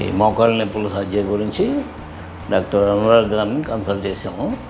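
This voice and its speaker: Music plays in the background. A man speaks over it at a fairly low pitch. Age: 80s+. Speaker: knee replacement patient. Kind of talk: patient testimonial.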